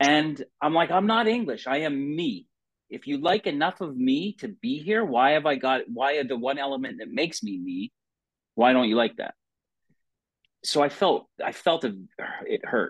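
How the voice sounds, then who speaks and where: A man with a North American accent speaks at a fairly high pitch and a moderate pace. His pitch swings very widely. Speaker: podcast host, former hockey player. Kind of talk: casual interview.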